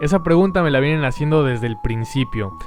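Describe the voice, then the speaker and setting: A man's pitch varies in an ordinary way as music plays in the background. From Mexico and Argentina. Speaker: history YouTuber. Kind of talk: Q&A video narration. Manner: scripted, clear.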